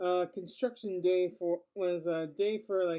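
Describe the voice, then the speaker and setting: The speaker mumbles at a moderate pace. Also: woman. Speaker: vlogger. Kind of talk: casual vlog monologue. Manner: mumbling; halting, with repetitions.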